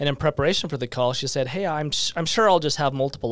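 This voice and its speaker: At a very fast pace, a man speaks in an American accent, his fairly high pitch showing ordinary variation. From Utah, West Valley. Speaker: real estate team leader. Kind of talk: casual interview.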